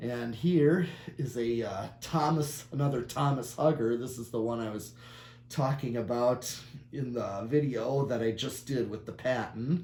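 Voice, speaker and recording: The voice has a dark, mellow tone that is somewhat breathy, with ordinary pitch variation. It moves at a fairly slow pace amid audible room echo. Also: man. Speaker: ceiling fan collector and video maker. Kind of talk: casual product demo. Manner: halting, many fillers.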